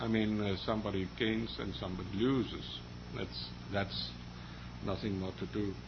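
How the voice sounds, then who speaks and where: A man with a Danish accent and a fairly low pitch speaks with vocal fry and very wide pitch swings. He leaves long, frequent pauses, and room echo is audible. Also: moderate pace. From Denmark. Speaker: librarian association representative, panelist. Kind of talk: panel discussion. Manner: halting.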